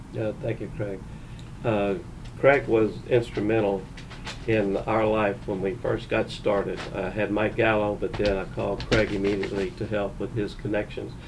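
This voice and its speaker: In a Texan accent, a man with a fairly low voice speaks at a moderate pace and with fairly even intonation, and room echo can be heard. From Texas, Conroe. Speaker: winery owner, co-host. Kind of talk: casual podcast chat.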